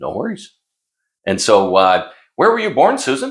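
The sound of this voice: A man talks at a moderate pace, his medium pitch swinging very widely.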